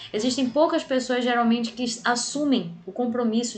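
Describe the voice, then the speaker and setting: With noticeable background noise and audible room echo, a woman speaks at a moderate pace in a fairly high pitch with fairly even intonation. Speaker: bible class teacher. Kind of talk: lecture.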